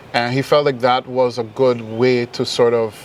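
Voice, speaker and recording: Over noticeable background noise, a man with a Caribbean accent speaks at a medium pitch in a monotone, flat delivery. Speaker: musician. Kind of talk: interview.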